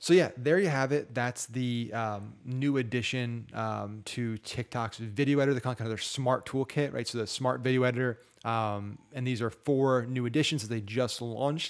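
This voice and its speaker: Against a quiet background, the voice shows ordinary pitch variation. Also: man. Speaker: online marketing tutor. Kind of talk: screen-share tutorial. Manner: fast; casual with filler words. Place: home room. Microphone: studio mic.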